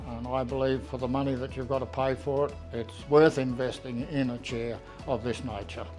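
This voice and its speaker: A man at a medium pitch with an Australian accent, moderate pace, ordinary pitch variation and music in the background. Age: 80s+. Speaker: customer giving a testimonial. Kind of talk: customer testimonial talk to camera.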